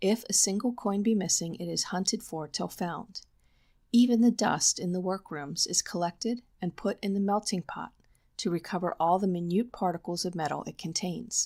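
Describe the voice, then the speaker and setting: Soft-spoken and medium-pitched, a woman talks at a moderate pace in a dark, mellow tone with ordinary pitch variation, on a very clean recording with a silent background. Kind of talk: nonfiction audiobook reading for sleep.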